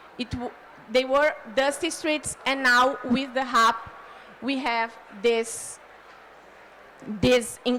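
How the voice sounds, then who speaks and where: A woman with a Brazilian Portuguese accent speaks very slowly at a fairly high pitch, with ordinary pitch variation. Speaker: city official. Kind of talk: conference panel presentation. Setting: conference pavilion. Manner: halting.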